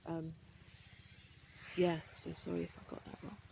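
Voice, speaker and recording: A woman speaks with a fairly low pitch. Her voice is somewhat breathy, with a dark, mellow tone. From Birmingham, English Midlands. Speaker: vlogger. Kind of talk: casual monologue vlog. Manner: hesitant, many fillers.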